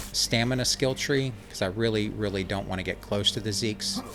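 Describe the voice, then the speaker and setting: Fairly even intonation at a moderate pace, with music in the background. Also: man. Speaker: gaming youtuber. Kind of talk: gameplay commentary. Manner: mumbling; halting, many fillers.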